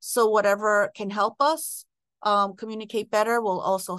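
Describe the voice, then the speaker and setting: Against a quiet background, a woman with an ordinary speaking voice talks at a moderate pace and a medium pitch. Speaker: school principal. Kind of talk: interview conversation.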